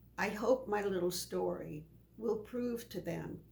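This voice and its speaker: A woman talks at a very slow pace. Her voice carries vocal fry. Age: 90s. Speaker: elderly voter interviewee. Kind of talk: interview.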